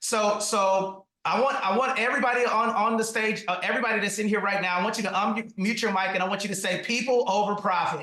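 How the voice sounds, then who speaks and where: Speaking with an American accent, a man talks at a very fast pace with hardly any pauses, in a high pitch. His raised, projected voice has an energetic tone and very even loudness. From US South, Atlanta, Georgia. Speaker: real estate investor and trainer. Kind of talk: webinar training talk. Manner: fast, energetic.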